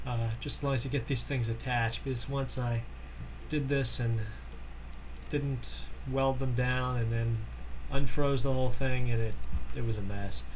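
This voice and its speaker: The man speaks at a moderate pace. Long, frequent pauses break his speech, and the room echo is audible. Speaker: gaming tutorial maker. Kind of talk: tutorial. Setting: Skype call running during recording. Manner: halting, stuttering. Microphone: poor mic sound.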